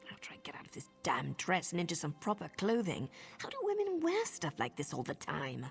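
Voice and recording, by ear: A woman's put-on character voice, fairly low-pitched with vocal fry and very wide pitch swings, at a fairly quick pace over faint music in the background.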